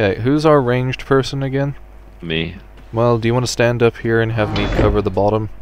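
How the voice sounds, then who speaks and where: A medium-pitched man at a fairly quick pace, with noticeable background noise. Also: ordinary pitch variation. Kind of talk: casual gameplay chat.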